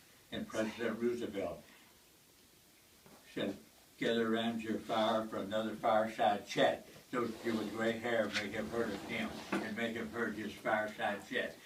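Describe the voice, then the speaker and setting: A man with a Tennessee accent at a medium pitch and moderate pace, monotone and flat, with long, frequent pauses, audible room echo and noticeable background noise. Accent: Southern US (Tennessee). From US South, Tennessee hills. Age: 80s+. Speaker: war veteran. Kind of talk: memorial speech. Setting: memorial gathering with audience.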